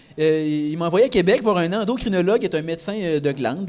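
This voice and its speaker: A speaker with a Quebec accent talks with lively intonation. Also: man. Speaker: comedian. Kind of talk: live podcast talk before audience. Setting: stage with audience in a microbrewery.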